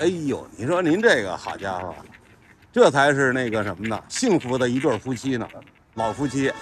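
Speaking in a Beijing accent at medium pitch, a man keeps a moderate pace and lively intonation, with light background noise and a dry sound with no echo. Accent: Beijing Mandarin. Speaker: hutong documentary vlogger. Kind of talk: casual street interview questions. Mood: admiring, cheerful. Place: street. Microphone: phone near.

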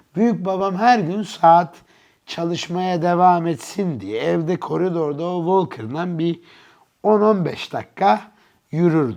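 A man's high voice at a very slow pace, with lively intonation and big swings in loudness. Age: 30s. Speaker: watch enthusiast, channel owner. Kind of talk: casual interview chat.

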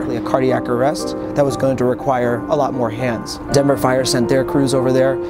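A man at a moderate pace with hardly any pauses, loud music in the background. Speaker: paramedic. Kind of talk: interview answer. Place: street. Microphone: lapel.

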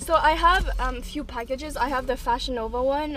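A woman at a moderate pace with ordinary pitch variation, a dry sound with no echo and light background noise. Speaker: vlogger. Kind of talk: casual vlog chat. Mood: playful, a bit rushed. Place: car. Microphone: phone near.

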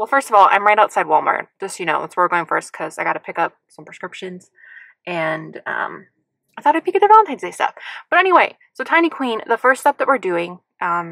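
A woman at a fairly quick pace with big swings in loudness, against a quiet background. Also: dry sound with no echo. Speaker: vlogger. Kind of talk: casual vlog chat. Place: car. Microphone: phone near.

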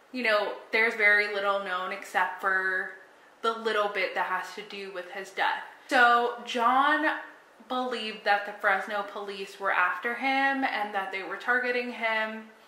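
Audible room echo surrounds a woman speaking at a fairly slow pace in fairly even intonation. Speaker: true crime storyteller. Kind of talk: casual vlog chat. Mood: calm, serious. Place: home room. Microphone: phone near.

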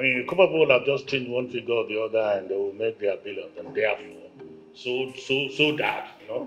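Over faint music in the background, a man talks at a very fast pace with ordinary pitch variation. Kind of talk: goodwill speech. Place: hall. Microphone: handheld.

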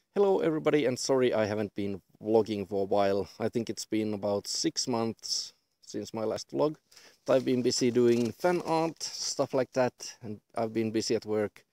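A man at a moderate pace, lively intonation, dry sound with no echo. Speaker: vlogger. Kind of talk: casual vlog chat. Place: open country.

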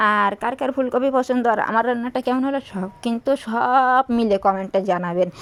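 A woman's voice sits at a fairly high pitch with ordinary pitch variation. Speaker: lifestyle vlogger. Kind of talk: vlog narration while doing housework and cooking. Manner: casual, chatty.

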